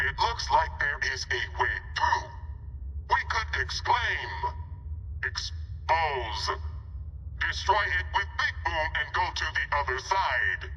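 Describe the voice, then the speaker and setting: A put-on character voice moves at a very slow pace with long, frequent pauses, clear background noise behind it. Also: man. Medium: machinima. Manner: stilted, formal, no contractions.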